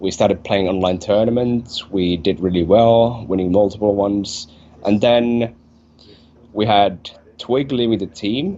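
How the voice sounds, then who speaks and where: A man with a Finnish accent speaks at a fairly slow pace, with fairly even intonation and long, frequent pauses. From Finland. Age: 20s. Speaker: esports player. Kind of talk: interview.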